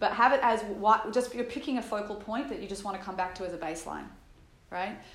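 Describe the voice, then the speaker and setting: A woman speaks over noticeable background noise. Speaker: meditation teacher. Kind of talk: guided meditation. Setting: guiding a group in a room. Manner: explanatory, conversational in the talk portion.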